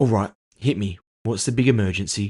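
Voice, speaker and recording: A man does a raspy, put-on character voice at a fairly low pitch. He talks at a fairly quick pace. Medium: read story. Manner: sarcastic, teasing.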